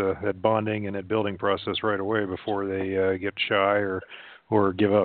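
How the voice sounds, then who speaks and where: A man with an unremarkable speaking voice, fairly low in pitch, at a fairly quick pace. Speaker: military spouse. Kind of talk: casual chat. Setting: phone call.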